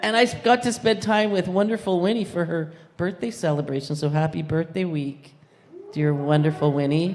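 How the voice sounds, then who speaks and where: A woman speaks at a moderate pace with lively intonation and a fairly low pitch. The room echoes audibly, and background noise is noticeable. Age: 60s. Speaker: congregation member. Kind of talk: testimony.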